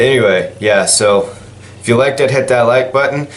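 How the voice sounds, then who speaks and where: A man at a moderate pace, with ordinary pitch variation, noticeable background noise and audible room echo. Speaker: gaming YouTuber. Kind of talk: casual vlog. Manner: rambling, halting with fillers.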